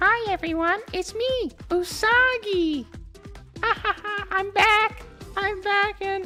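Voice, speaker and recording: An extremely high-pitched, put-on character voice speaks at a fairly slow pace over clear background music. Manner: gleeful, laughing.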